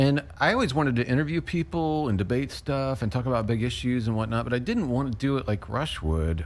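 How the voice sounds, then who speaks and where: A man's ordinary speaking voice, medium in pitch, with lively intonation, very even loudness and a fairly quick pace. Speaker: radio host and podcaster. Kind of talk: interview.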